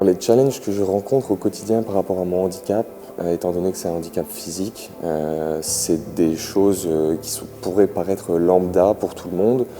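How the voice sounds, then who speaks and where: Very deep, low male voice over music in the background. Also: ordinary pitch variation, moderate pace. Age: 20s. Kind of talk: interview testimony. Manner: halting, many filler sounds.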